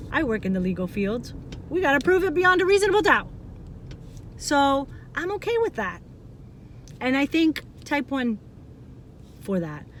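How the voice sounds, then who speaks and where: Loud and animated, a woman speaks fairly slowly in a high voice with very wide pitch swings. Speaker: vlogger, parent of child with type 1 diabetes. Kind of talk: personal testimony vlog.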